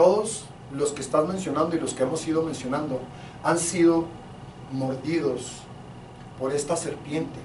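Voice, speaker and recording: A man's fairly high voice with fairly even intonation and long, frequent pauses, amid audible room echo and noticeable background noise. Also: moderate pace. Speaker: pastor. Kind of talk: sermon. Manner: loud.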